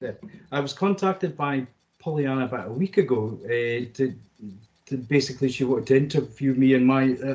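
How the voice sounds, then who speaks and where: Talking at a fairly quick pace, a man with a Scottish accent has a medium-pitched voice with ordinary pitch variation. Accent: mild Scottish, tempered. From Scotland, Scottish Borders. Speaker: additional needs assistant in schools. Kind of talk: interview. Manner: halting, many fillers and repeats.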